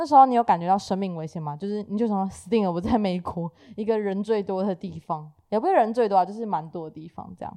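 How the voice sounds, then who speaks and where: A woman's very fast delivery with ordinary pitch variation, big swings in loudness and a dark, mellow tone. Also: medium pitch for a woman. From Taiwan. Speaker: podcast host. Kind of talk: casual chat.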